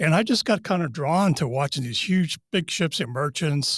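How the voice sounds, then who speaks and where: This man has a plain, everyday voice with an American accent, a fairly high pitch, and lively intonation. He talks at a moderate pace on a very clean recording with a silent background. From US Northeast (Massachusetts). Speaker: retired naval officer. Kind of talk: interview storytelling.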